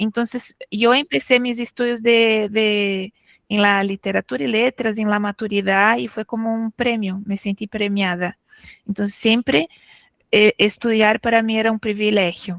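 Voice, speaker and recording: The speech moves at a fairly slow pace with ordinary pitch variation. The sound is dry and close, with no echo. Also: woman, fairly high pitch for a woman. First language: Portuguese (speaking Spanish). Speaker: literature professor. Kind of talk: academic talk.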